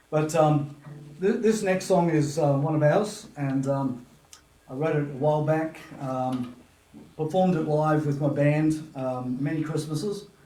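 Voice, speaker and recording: Over noticeable background noise and audible room echo, a man talks at a fairly slow pace with a fairly high pitch and ordinary pitch variation. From Papua New Guinea. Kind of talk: casual interview chat. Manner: halting, many fillers.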